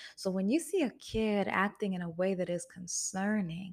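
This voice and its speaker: The pitch shows ordinary variation. The recording is very clean, with a silent background. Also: woman. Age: 20s. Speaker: podcast host. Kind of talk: solo podcast monologue. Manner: soft-spoken.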